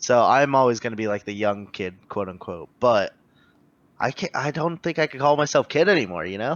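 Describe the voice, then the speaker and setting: In a normal speaking voice, a man talks at a fairly quick pace and medium pitch with lively intonation. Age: 20s. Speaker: podcast host and poker player. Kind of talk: casual chat.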